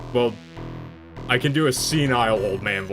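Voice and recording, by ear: Over clear background music, a man does a put-on character voice at a medium pitch. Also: moderate pace.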